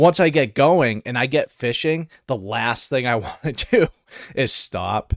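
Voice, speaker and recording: A man with an American accent speaks at a fairly slow pace in an ordinary speaking voice, his fairly high pitch carried by lively intonation, the sound dry and close with no echo. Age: 30s. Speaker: fishing podcaster and angler. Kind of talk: casual chat.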